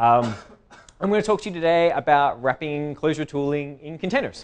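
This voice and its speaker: A man speaks with an American accent, a fairly high pitch and ordinary pitch variation. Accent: Australian, with some American. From Australia. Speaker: tech conference speaker. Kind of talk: tech talk.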